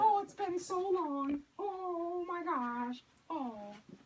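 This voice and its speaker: A woman speaks very slowly in a put-on character voice pitched extremely high. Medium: stage play. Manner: gushing, warm.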